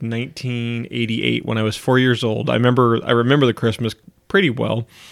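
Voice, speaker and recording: A man speaks at a fairly quick pace in an unremarkable speaking voice. His pitch sits in the medium range. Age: 30s. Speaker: podcast host. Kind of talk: casual chat.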